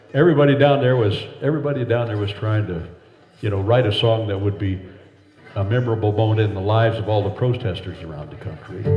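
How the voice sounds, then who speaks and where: Over noticeable background noise and audible room echo, a man with a fairly low voice talks at a very fast pace. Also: ordinary pitch variation. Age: 70s. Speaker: folk singer. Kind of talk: storytelling between songs. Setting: house concert with audience. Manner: halting.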